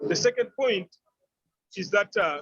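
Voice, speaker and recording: Music plays in the background as a man talks in a dry, close sound with no echo. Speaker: participant. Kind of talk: online panel discussion. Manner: fast; stammering repetitions.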